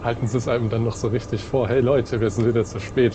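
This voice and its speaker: Noticeable background noise sits behind a man talking at a fairly quick pace. His pitch is medium and his intonation is monotone and flat. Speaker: train simulator let's play host. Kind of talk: casual gaming commentary.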